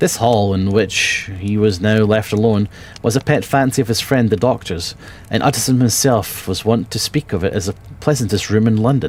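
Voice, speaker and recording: A man with a Scottish accent speaks at a moderate pace in a fairly low pitch, with ordinary pitch variation. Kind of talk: audiobook reading.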